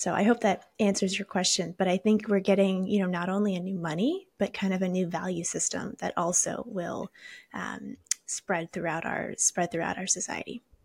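This woman's medium-pitched voice is somewhat breathy, with fairly even intonation and a dry, close sound with no echo. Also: moderate pace. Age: 20s. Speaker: Bitcoin educator. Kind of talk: interview.

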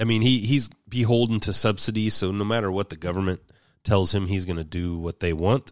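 Using an ordinary speaking voice, a man talks at a fairly quick pace in a fairly low pitch with ordinary pitch variation, the recording very clean with a silent background and a dry, close sound with no echo. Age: 40s. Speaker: podcast host. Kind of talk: casual monologue. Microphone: new mic.

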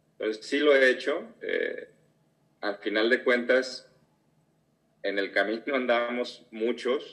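At a fairly slow pace, a man talks in a plain, everyday voice at medium pitch with fairly even intonation. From Mexico, Guadalajara. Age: 40s. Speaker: business leader. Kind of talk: interview.

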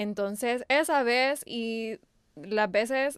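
In a very clean recording with a silent background, a woman with a normal speaking voice talks in a fairly high pitch with ordinary pitch variation. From El Salvador (born in Texas, raised from age 5). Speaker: youtuber. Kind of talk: interview.

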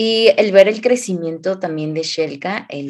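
Lively intonation marks a woman's fairly slow speech. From Mexico, Hidalgo. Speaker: clinical psychologist, podcast co-host. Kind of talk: casual podcast conversation.

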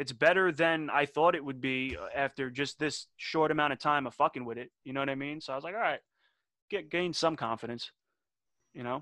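A man with a New York accent talks at a fairly quick pace and a fairly high pitch, his tone bright and sharp. His loudness swings widely, and the sound is dry and close with no echo over a quiet background. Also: ordinary pitch variation. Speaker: rapper and podcast host. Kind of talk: casual chat. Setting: video call.

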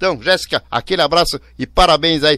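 At a moderate pace, a man talks in a bright, sharp tone with a fairly high pitch against a quiet background. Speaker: radio host. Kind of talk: radio show chat with dedications. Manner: animated.

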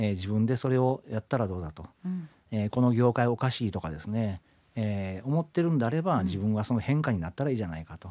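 A man's dark, mellow tone at a very fast pace. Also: medium pitch for a man, lively intonation, very clean recording, silent background. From Japan, Ishikawa Prefecture. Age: 50s. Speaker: company CEO. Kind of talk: radio interview.

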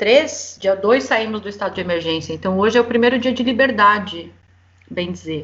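A woman speaks at a moderate pace in a plain, everyday voice, her medium pitch rising and falling in an ordinary way. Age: 40s. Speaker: guest, Brazilian living abroad. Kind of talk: casual chat. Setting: remote recording from home.

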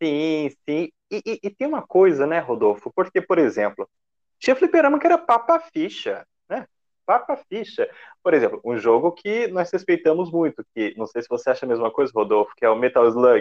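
Dry, close sound with no echo, a man talking at a moderate pace. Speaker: podcast host. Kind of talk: casual chat.

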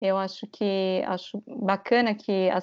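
A woman at a medium pitch, very slow in pace and flat, monotone in intonation. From Brazil. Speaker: travel content creator. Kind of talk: interview.

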